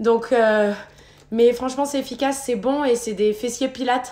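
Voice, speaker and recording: This woman's high-pitched voice has a dark, mellow tone and a monotone, flat delivery at a moderate pace. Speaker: fitness instructor. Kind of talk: live workout class. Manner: casual, talkative.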